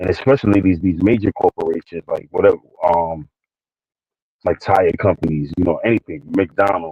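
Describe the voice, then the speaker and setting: A man talks in a New York accent. His pace is moderate. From New York City, the Bronx. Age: 40s. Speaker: livestream co-host. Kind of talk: casual talk monologue. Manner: halting, many fillers and repeats.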